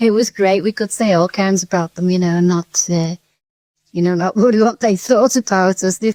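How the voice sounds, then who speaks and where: In a very clean recording with a silent background and a dry, close sound with no echo, a woman with a Liverpool accent speaks at medium pitch and a moderate pace, her tone dark and mellow and her loudness very even. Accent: Liverpool (Scouse). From Seaforth, Merseyside. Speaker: interviewee on local radio. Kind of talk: interview answer. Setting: at home. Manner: enthusiastic, cheerful.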